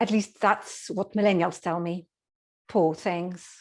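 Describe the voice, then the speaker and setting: A woman with a Polish accent and a fairly low pitch speaks at a very slow pace with fairly even intonation over a quiet background. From Poland. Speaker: speech contestant. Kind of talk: humorous speech.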